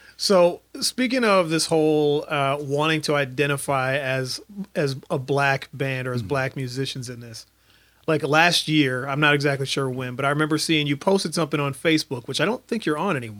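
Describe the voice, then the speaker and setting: A man with an American accent and a normal speaking voice talks at a fairly high pitch with ordinary pitch variation. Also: fairly quick pace. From Minnesota, St. Paul. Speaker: podcast host. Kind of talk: show outro announcements; casual interview.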